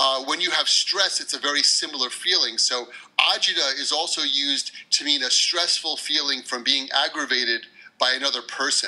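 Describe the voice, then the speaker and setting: With an American accent, a man speaks at a moderate pace, fairly high pitch and fairly even intonation amid noticeable background noise. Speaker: English teacher. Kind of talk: podcast interview answer. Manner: casual, hesitant.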